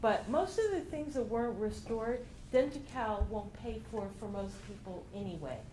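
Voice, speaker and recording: A woman speaks loudly at a moderate pace in a fairly high voice. Her pitch swings very widely, and room echo is audible. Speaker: regional center health services director. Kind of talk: presentation.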